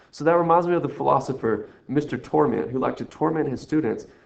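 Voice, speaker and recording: A man talks at a very fast pace with vocal fry. His pitch sits in the medium range. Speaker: math teacher. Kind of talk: recorded lesson walkthrough. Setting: screen recording. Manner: rambling, playful.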